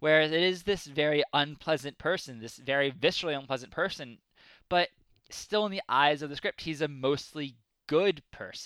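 A man with an American accent has an ordinary speaking voice, pitched fairly high, with ordinary pitch variation and a moderate pace. The recording is very clean, with a silent background. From United States. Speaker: podcast host. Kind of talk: casual chat.

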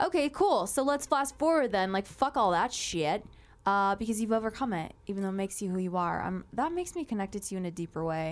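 At a very fast pace, a speaker with a Southern California accent talks in an animated tone with lively intonation, on a very clean recording with a silent background. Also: woman, medium pitch for a woman. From Moreno Valley, Southern California. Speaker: podcast host. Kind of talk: casual chat.

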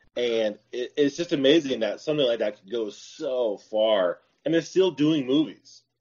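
A normal speaking voice from a man, fairly high in pitch, at a moderate pace with ordinary pitch variation and hardly any pauses. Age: 40s. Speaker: podcast guest, paranormal podcast host. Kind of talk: casual chat.

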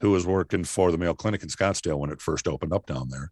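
Very deep and low, this man's voice carries vocal fry and an American accent, moving at a very fast pace with lively intonation. The sound is dry and close with no echo, over a quiet background. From southeast Minnesota. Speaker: sheriff and former radio broadcaster. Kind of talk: interview.

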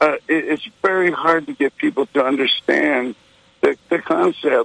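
This man has an unremarkable speaking voice, fairly high in pitch, with an American accent, a moderate pace and a dry, close sound with no echo. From Texas. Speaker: caller. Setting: phone call.

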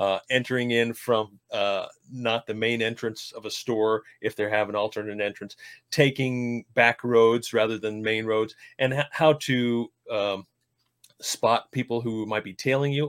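Recorded very cleanly with a silent background and a dry, close sound with no echo, a man with a medium pitch speaks in a normal speaking voice at a fairly slow pace with fairly even intonation. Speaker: podcast co-host. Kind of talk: casual conversation.

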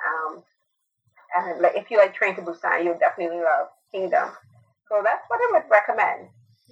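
A woman speaks at a fairly quick pace in a medium pitch, with very wide pitch swings and big swings in loudness. Her speech has long, frequent pauses. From Barbados. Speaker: film and TV critic, podcaster. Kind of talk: casual chat.

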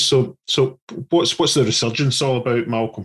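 A man with an unremarkable speaking voice, fairly quick in pace, with ordinary pitch variation. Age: 40s. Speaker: podcast co-host. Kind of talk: casual interview.

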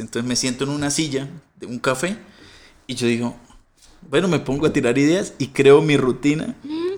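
A man with a normal speaking voice at medium pitch and a fairly quick pace. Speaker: comedian. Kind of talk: casual chat.

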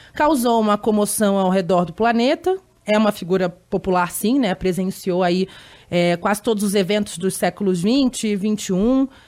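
An ordinary speaking voice moves at a moderate pace with ordinary pitch variation and very even loudness in a very clean recording with a silent background. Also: woman, medium pitch for a woman. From Rio de Janeiro, Brazil. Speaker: journalist and podcast co-host. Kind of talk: podcast interview.

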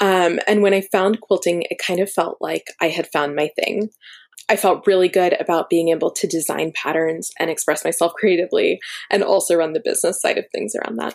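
With an American accent, a woman speaks at a fairly quick pace in a dry, close sound with no echo. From US, Florida. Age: 20s. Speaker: quilter and quilt pattern designer. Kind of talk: interview.

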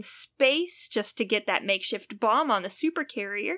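A woman speaks at a moderate pace and fairly high pitch, her tone bright and sharp with very wide pitch swings. The recording is very clean with a silent background. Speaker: podcast co-host. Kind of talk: casual chat, live podcast.

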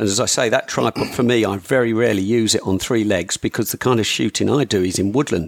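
A man with a British accent talks at a fairly quick pace. The recording is dry and close, without echo. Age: 50s. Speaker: hunting gear maker. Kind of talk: casual chat.

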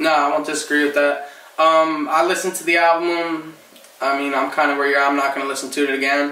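With an American accent, a man with a fairly high pitch talks at a very fast pace in a monotone, flat intonation amid noticeable background noise. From New Jersey. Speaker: podcast host. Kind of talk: casual chat about music.

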